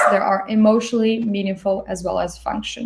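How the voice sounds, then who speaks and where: This woman speaks at a fairly quick pace. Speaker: design thinking instructor. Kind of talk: online workshop lecture. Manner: fast.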